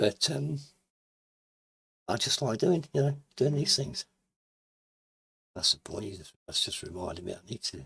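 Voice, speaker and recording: A man of medium pitch at a moderate pace, with vocal fry, very wide pitch swings, big swings in loudness, and long, frequent pauses, in a dry, close sound with no echo. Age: 70s. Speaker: YouTuber. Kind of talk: interview. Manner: halting.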